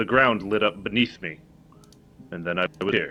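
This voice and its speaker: At a moderate pace, a man uses a put-on character voice with a fairly low pitch. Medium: actual play. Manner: terse, formal.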